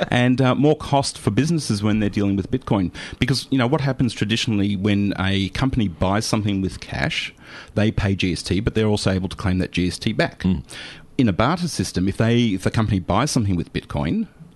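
The man's pitch sits fairly low, and his intonation is lively at a fairly quick pace. He has an unremarkable speaking voice. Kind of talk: radio DJ patter, live community-radio banter with co-host and guests. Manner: chatty, easygoing, warm and conversational, with frequent fillers and interjections.

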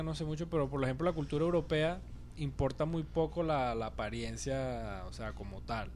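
A man speaks at a moderate pace, and room echo is audible. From Venezuela. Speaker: podcast guest. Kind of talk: casual chat.

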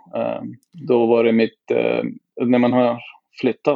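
A man with a non-native accent is speaking. His pace is moderate and his pitch is medium. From southern India. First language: not Swedish (speaking Swedish). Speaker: podcast guest. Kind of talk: casual chat.

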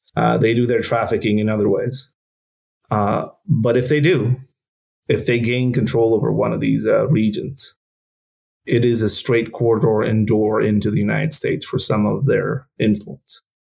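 A man with a Spanish accent at a moderate pace. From northern Mexico border region. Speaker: former counter-narcotics police officer. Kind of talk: interview. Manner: halting, many fillers.

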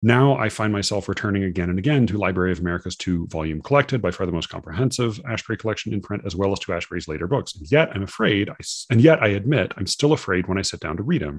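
Very fast and with hardly any pauses, a man speaks in a fairly low voice. His intonation is lively. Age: 30s. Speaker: podcast host. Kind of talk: casual conversation. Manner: halting, repeats words.

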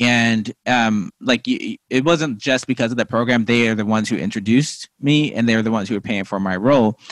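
A man with a plain, everyday voice at medium pitch, with ordinary pitch variation and hardly any pauses, in a dry, close sound with no echo on a very clean recording with a silent background. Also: fairly quick pace. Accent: American. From Missouri, US Midwest. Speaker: TV writer and playwright. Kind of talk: interview. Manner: casual, filler-heavy.

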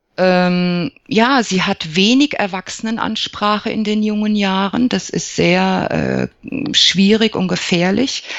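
A woman's medium-pitched voice moves at a very slow pace. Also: ordinary pitch variation. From Germany, Lower Franconia (Aschaffenburg). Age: 40s. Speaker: psychologist and alternative practitioner. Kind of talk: interview. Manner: hesitant, frequent fillers.

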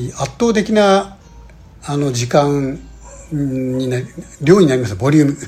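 Against noticeable background noise, a man with a fairly high pitch speaks at a fairly slow pace, leaving long, frequent pauses. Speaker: podcast host, real estate investor. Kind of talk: solo podcast monologue. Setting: alone in a room abroad. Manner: halting, many fillers.

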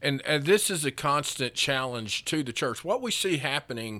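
The voice has a bright, sharp tone and lively intonation at a moderate pace, on a very clean recording with a silent background. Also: man. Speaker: pastor. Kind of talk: casual church podcast chat.

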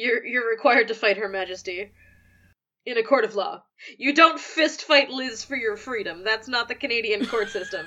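A woman's fairly high voice at a moderate pace with ordinary pitch variation, a normal speaking voice. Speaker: podcast host. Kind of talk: casual podcast chat.

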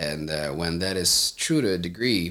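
The voice has a bright, sharp tone with vocal fry. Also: man. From Moldova. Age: 30s. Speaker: entrepreneur. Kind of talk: casual interview.

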